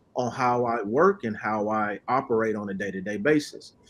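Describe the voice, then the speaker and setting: A man speaks at a moderate pace in an ordinary speaking voice. His pitch varies in an ordinary way. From Oklahoma City. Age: 30s. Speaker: credit repair specialist. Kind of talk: podcast interview. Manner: casual, repetitive.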